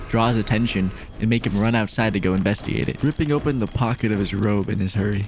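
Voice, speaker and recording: Music plays in the background as a man talks at a fairly quick pace. His fairly low voice shows ordinary pitch variation and very even loudness. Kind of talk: comedic movie recap narration. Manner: casual, joking.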